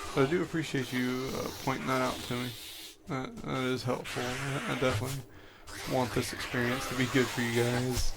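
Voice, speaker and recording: Soft-spoken and fairly quick, a man talks at a medium pitch with fairly even intonation amid noticeable background noise and audible room echo. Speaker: gaming streamer. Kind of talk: live gameplay stream chat. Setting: home at night. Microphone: quiet, mic input being adjusted.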